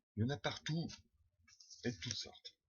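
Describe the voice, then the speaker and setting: Lively intonation in a man's somewhat breathy voice. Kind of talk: first read-through of a text, rehearsal.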